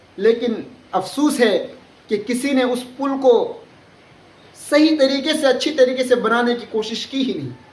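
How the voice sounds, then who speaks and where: A man with an extremely high pitch and fairly even intonation speaks with long, frequent pauses, in audible room echo and over noticeable background noise. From India, Bihar (Kishanganj district). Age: 20s. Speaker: vlogger. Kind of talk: political appeal to voters. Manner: earnest, with hesitations.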